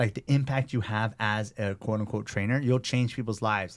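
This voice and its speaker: The speech moves at a fairly quick pace. The recording is very clean, with a silent background. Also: man. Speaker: personal trainer and gym owner. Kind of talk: casual interview chat. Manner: animated.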